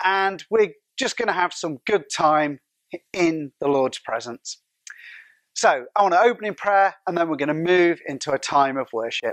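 Man with a high pitch at a moderate pace, dry sound with no echo, quiet background. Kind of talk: welcome and spoken prayer. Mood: warm, prayerful. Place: hall. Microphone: lapel.

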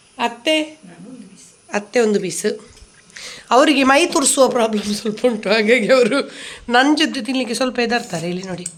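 Noticeable background noise sits under a woman speaking with ordinary pitch variation. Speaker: cooking and family vlogger. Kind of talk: cooking tutorial.

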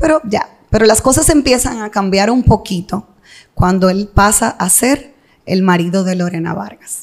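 Moderate-paced speech with lively intonation in a Dominican accent. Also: woman, medium pitch for a woman. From Dominican Republic, Santo Domingo. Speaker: entrepreneur and mother in a divorce dispute. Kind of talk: interview testimony.

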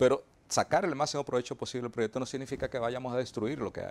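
A man talks at a very fast pace. His pitch sits in the medium range. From Dominican Republic, Azua; Dominican Republic. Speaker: mining company executive. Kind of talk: TV interview. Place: studio. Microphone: lapel.

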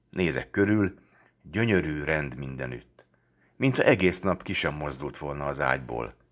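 A man with a very deep, low pitch and vocal fry speaks fairly slowly in a warm, stern tone with lively intonation. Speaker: audiobook reader. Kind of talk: literary audiobook reading, first-person story narration with a fatherly voice. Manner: warm, lively storytelling with mock-stern, teasing tones in the dialogue.

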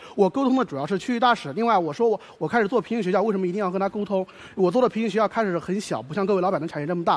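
The man's high voice races along at a very fast clip. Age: 20s. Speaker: job applicant, university student. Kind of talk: job interview on TV show. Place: stage. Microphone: headset.

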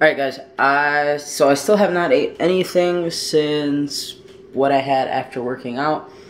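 A man talks with ordinary pitch variation. Light background noise sits behind him. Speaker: vlogger. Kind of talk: casual vlog chat. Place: kitchen. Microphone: phone near.

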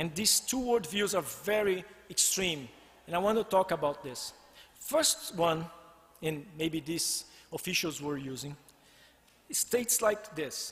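A man with a Brazilian accent at a high pitch, fairly slow in pace, with lively intonation and long, frequent pauses. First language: Portuguese. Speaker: design researcher and former PhD student. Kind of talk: presentation. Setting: stage with audience.

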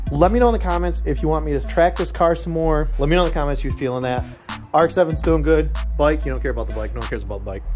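Over clear music in the background, a man talks at a very fast pace. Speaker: car hobbyist vlogger. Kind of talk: casual vlog chat. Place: garage. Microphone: phone near.

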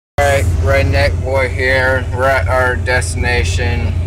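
Noticeable background noise sits behind the voice. A man speaks at a fairly slow pace. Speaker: vlogger. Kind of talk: casual vlog chat. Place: car. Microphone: phone near.

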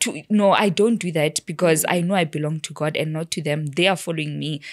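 Over a quiet background, a woman talks at a fairly quick pace in a fairly low pitch with fairly even intonation. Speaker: podcast guest. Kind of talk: interview answer. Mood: relaxed, laughing at times. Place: studio. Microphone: studio mic.

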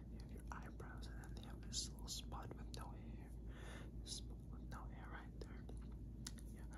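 Loud background noise surrounds a man who speaks at a moderate pace with long, frequent pauses. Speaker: ASMR creator. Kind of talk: ASMR personal attention role play. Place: home room. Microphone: phone near.

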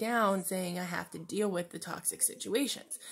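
Moderate pace and fairly even intonation from a woman at a medium pitch. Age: 20s. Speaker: vlogger. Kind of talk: personal video diary. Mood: candid, reflective, personal struggle. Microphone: phone near.

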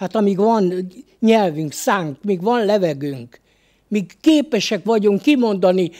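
A man speaks at a high pitch and a very slow pace. The background is quiet. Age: 70s. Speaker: lay preacher. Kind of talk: sermon. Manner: halting. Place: studio. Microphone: studio mic.

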